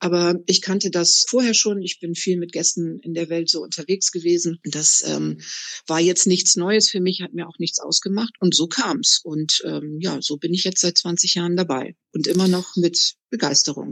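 A woman's fairly low-pitched voice with vocal fry, fairly even intonation, a moderate pace and hardly any pauses. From northern Germany, Bremerhaven. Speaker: tour guide. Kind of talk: interview.

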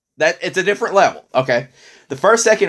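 An animated, vocal-fry voice comes through on a very clean recording with a silent background. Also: man. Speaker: retro video game podcast host. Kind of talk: casual chat.

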